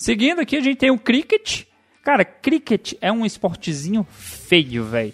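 At a moderate pace, a man with a high pitch and very wide pitch swings is heard in a dry, close sound with no echo. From Brazil, Goiás. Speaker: podcast host. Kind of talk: casual chat. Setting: home room.

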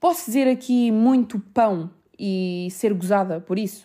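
A woman with a European Portuguese accent speaks in a dark, mellow tone at medium pitch with lively intonation, in a very clean recording with a silent background. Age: 20s. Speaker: podcast host. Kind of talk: casual monologue.

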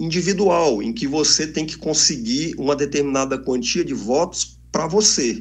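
Speaking at a fairly slow pace, a man with an unremarkable speaking voice and a fairly high pitch uses lively intonation. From Brasília, Brazil. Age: 50s. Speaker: entrepreneur and party official. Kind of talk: interview.

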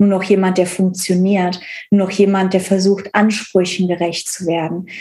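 A somewhat breathy quality comes through. Its tone is dark and mellow. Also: woman. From Cologne area, western Germany. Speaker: relationship coach. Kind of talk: personal testimony in interview.

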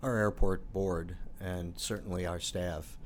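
A man's very deep, low voice in a flat monotone, with audible room echo around it. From Chicago, North Side. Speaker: airport board chairman, former radio journalist. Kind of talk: casual interview.

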